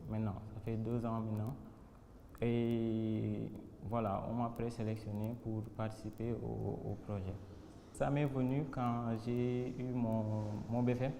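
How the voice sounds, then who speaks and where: Very slow and monotone with flat intonation and long, frequent pauses, the speech carries audible room echo and noticeable background noise. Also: man, medium pitch for a man. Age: 20s. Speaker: doctor and entrepreneur candidate. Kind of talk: interview testimony. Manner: hesitant, with repetitions.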